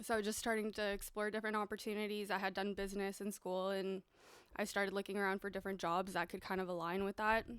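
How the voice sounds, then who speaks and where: In a very clean recording with a silent background, the speaker talks very fast in a flat monotone with a Canadian accent. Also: woman, medium pitch for a woman. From Mexico, moved to Canada as a child. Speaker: real estate professional. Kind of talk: casual podcast interview.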